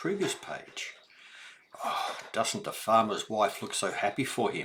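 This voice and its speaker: A man speaks in a warm, gentle tone. He has an Australian accent. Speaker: grandfather reading children's books. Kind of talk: children's read-aloud with explanations. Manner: warm, gentle, slow.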